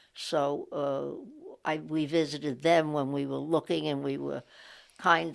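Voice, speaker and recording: A woman with a New York accent speaks at a fairly slow pace. The recording is very clean, with a silent background. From New York City (Brooklyn). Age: 80s+. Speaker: interviewee sharing local history. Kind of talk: oral history interview. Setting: library recording booth. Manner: halting, frequent fillers.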